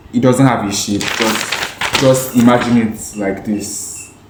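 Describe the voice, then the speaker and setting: A man talks over noticeable background noise. Room echo can be heard. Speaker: amateur video creator. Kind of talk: casual informal explainer. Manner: halting, with hesitations and repeats.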